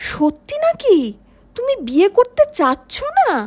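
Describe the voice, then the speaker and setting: A woman uses a put-on character voice at an extremely high pitch. Her pitch swings very widely. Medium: read story. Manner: naive, blustering.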